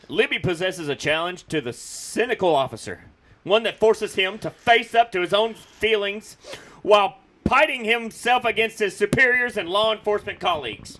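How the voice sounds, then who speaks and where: A man speaks in a raised, projected voice with an excited tone, high pitch, ordinary pitch variation and a moderate pace. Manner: higher, excited cadence.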